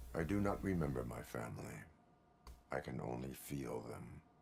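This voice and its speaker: A man puts on a character voice at a very deep, low pitch and a moderate pace. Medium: video game. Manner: flat, formal, measured.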